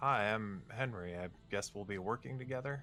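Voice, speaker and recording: Putting on a character voice, a man speaks at a moderate pace and fairly low pitch, with clear background noise behind him. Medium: actual play. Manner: friendly, hesitant.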